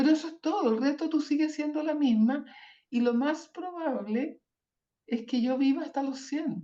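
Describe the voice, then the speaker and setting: A woman speaks at a high pitch in a dark, mellow tone. Her pace is moderate, with ordinary pitch variation. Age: 70s. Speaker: journalist and social leader. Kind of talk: interview.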